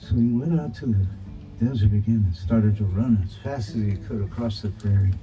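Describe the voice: Straightforward reading aloud, the intonation fairly even throughout.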